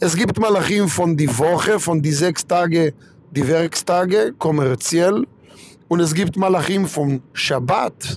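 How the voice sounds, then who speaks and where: In an Israeli accent, a man with a high pitch speaks at a very slow pace, with ordinary pitch variation and very even loudness. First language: Hebrew (speaking German). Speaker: rabbi. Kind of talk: religious talk.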